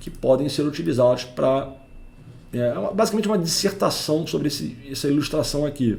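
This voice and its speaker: With audible room echo around him, a man speaks in a dark, mellow tone. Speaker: network engineer and tech educator. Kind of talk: technical lecture. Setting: home recording. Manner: informal.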